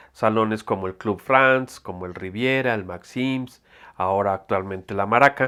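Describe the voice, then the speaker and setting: A man with a Mexico City accent at a fairly slow pace, ordinary pitch variation, on a very clean recording with a silent background. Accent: Mexican Spanish (Mexico City). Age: 60s. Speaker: photographer. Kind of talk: interview testimony. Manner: halting, many fillers.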